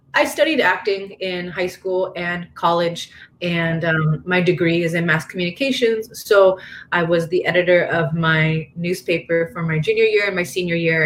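A woman talks with ordinary pitch variation. Music plays in the background. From Northern California, small town. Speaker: MMA fighter. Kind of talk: casual chat.

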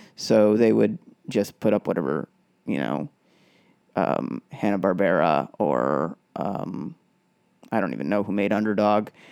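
A man's very deep, low voice with vocal fry and very wide pitch swings, at a fairly slow pace with long, frequent pauses, in a dry, close sound with no echo. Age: 40s. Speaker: podcast host. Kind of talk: casual monologue describing a comic panel. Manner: hesitant, with many fillers.

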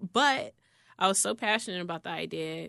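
A woman with an American accent talks at a moderate pace in a fairly low pitch. She has a normal speaking voice, and the background is quiet. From Chicago South Side. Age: 30s. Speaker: gaming influencer. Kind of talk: interview. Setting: studio.

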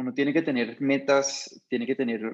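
This man has an ordinary speaking voice. His pitch sits fairly high, and he talks at a moderate pace. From Colombia, Bogotá. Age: 30s. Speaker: restaurant chain founder. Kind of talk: interview.

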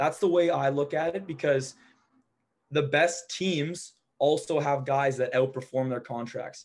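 Someone speaks in an ordinary speaking voice at a fairly slow pace. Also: man, fairly high pitch for a man. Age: 20s. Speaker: window cleaning business operator. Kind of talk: casual interview chat.

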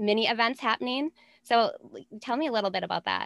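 In an American accent and an unremarkable speaking voice, a woman talks at a fairly high pitch with lively intonation, recorded very cleanly against a silent background with a dry, close sound and no echo. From Minnesota. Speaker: podcast host. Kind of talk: interview.

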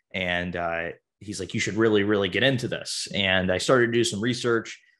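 A plain, everyday voice at a fairly quick pace. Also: man. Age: 20s. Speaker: real estate investor. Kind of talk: interview.

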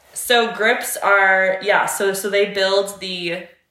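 A woman's medium-pitched voice with a Canadian accent, very slow delivery, ordinary pitch variation and audible room echo. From Canada, near Akwesasne (Ontario/Quebec border). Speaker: podcast co-host. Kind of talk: casual chat.

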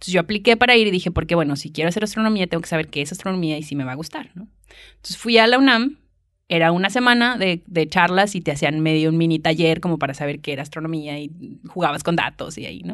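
Over a quiet background, a woman speaks at a very fast pace and a fairly low pitch, with big swings in loudness. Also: lively intonation. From northern Mexico, Monterrey. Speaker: astronomer. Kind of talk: casual chat. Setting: university library.

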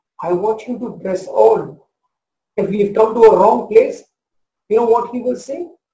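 Audible room echo surrounds a man who speaks high and with lively intonation in a dark, mellow tone. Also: long, frequent pauses, big swings in loudness. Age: 40s. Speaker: pastor. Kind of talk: sermon.

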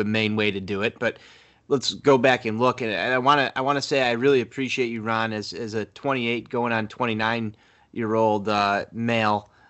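A man's medium-pitched voice with an American accent, fairly even intonation and a plain, everyday voice. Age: 20s. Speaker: sports podcast co-host. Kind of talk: casual chat.

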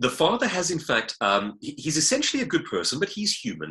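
A man with a South African accent talks at a fairly quick pace in a bright, sharp tone, using very wide pitch swings and vocal fry. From South Africa (Johannesburg). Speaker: author and public speaker. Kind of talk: interview.

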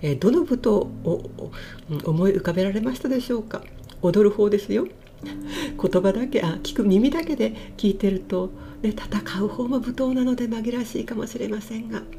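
Amid noticeable background noise, a woman with a medium-pitched voice speaks at a moderate pace with very wide pitch swings. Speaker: butoh dancer and IT engineer hosting a podcast. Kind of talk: casual solo podcast talk. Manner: polite, formal.

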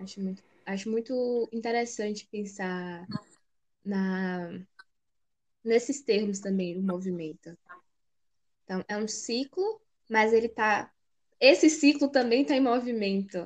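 A woman with a fairly high pitch speaks at a fairly slow pace, with ordinary pitch variation. Her loudness swings widely, and she takes long, frequent pauses. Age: 20s. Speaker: podcast co-host, university student. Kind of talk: casual chat.

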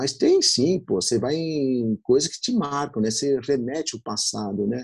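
With lively intonation, a man speaks in an unremarkable speaking voice on a very clean recording with a silent background. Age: 50s. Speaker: bakery owner. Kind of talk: interview.

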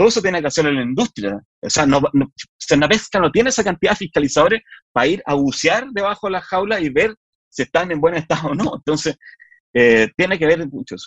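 A man with a Chilean accent, high-pitched and very fast, with very wide pitch swings, in a dry, close sound with no echo. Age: 40s. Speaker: politician. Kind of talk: interview. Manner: halting.

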